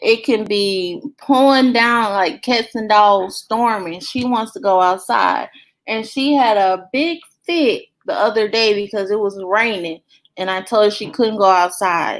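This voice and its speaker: A woman with an American accent speaks at a fairly slow pace in a normal speaking voice, her fairly high pitch carrying ordinary variation, on a very clean recording with a silent background. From US South, Belzoni, Mississippi. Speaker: family vlogger, live stream host. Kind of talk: casual live chat reading viewer comments.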